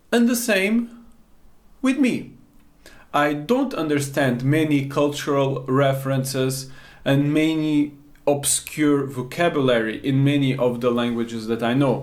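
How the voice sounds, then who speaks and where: Audible room echo surrounds a man who speaks at a fairly slow pace with very even loudness. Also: fairly high pitch for a man, ordinary pitch variation. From Portugal, Baixo Alentejo. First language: Portuguese. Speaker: language learning teacher. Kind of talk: tutorial.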